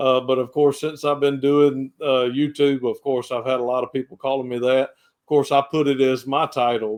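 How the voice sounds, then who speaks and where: A man's medium-pitched, monotone, flat delivery at a moderate pace, in a strong Southern US accent. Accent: thick Southern US. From US South, Georgia. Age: 50s. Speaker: pastor and reseller. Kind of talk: casual podcast chat.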